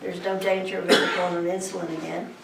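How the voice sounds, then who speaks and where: Noticeable background noise and audible room echo surround a woman with an American accent speaking at a medium pitch. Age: 60s. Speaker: cannabis advocate. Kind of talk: testimony. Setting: public presentation. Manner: halting.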